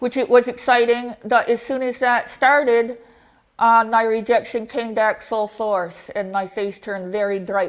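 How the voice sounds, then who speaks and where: A woman with a normal speaking voice, fairly high pitch and fairly even intonation, fairly slow pace, very clean recording with a silent background. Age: 40s. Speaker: face transplant recipient giving a talk. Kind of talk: talk to a club audience.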